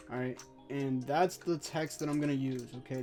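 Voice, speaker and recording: The pace of speech is moderate. Behind it, music plays. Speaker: gaming content creator. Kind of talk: tutorial. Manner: casual, with fillers.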